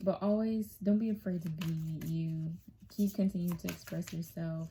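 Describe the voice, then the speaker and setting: A woman speaks at a moderate pace in a fairly low, somewhat breathy voice. Her tone is dark and mellow, with fairly even intonation. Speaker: tarot reader. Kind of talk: tarot reading. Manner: casual with many fillers.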